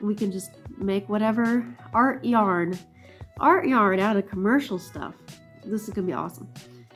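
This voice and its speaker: With music in the background, a woman speaks at a medium pitch and moderate pace, her intonation lively and her pauses long and frequent. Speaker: hand spinner. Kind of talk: casual vlog talk to camera.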